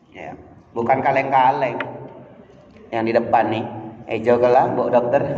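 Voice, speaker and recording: Medium-pitched man at a moderate pace, with long, frequent pauses, big swings in loudness, audible room echo and noticeable background noise. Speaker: preacher. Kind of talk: sermon. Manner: animated.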